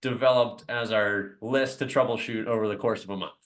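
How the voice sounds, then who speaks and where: Against a quiet background, a man speaks in a plain, everyday voice at a moderate pace with fairly even intonation. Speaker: basketball coach. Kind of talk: presentation to parents on a video call. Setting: video call.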